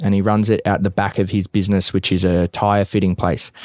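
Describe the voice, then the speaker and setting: Fairly low in pitch, a man with an Australian accent talks at a fairly quick pace in monotone, flat intonation, the sound dry and close with no echo. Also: very clean recording, silent background. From Australia, Bacchus Marsh near Melbourne. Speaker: mixed martial arts fighter. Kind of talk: casual chat. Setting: in a van.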